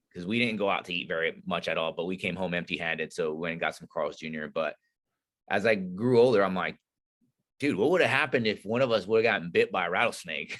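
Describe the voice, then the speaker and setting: A man speaks at a very fast pace with ordinary pitch variation against a quiet background. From Northern California. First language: not English. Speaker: Navy SEAL veteran and leadership instructor. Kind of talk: podcast interview. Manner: casual, conversational.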